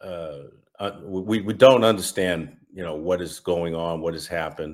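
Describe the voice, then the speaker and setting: A man speaks at a fairly slow pace in a very deep, low voice, recorded very cleanly against a silent background. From New England (Massachusetts). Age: 60s. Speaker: estranged father sharing his story. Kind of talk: personal testimony interview. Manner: halting, many fillers and repetitions.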